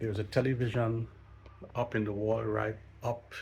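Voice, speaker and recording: This man speaks at a medium pitch and moderate pace, somewhat breathy, with ordinary pitch variation. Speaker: travel vlogger and pilot. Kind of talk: casual vlog walkthrough. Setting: indoors, old hotel. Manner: quiet, hushed.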